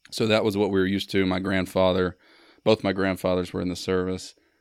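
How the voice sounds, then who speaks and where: On a very clean recording with a silent background, a man with a Mississippi accent speaks fairly quickly in a very deep, low, monotone, flat voice. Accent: Mississippi Southern. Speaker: Marine veteran and artist. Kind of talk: casual chat. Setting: in-person recording in Starkville.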